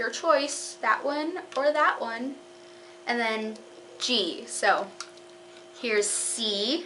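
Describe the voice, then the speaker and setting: Amid noticeable background noise and audible room echo, a woman with a fairly high pitch and lively intonation speaks very slowly, with long, frequent pauses. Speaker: clarinet teacher on video channel. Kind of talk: tutorial. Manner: hesitant, with fillers.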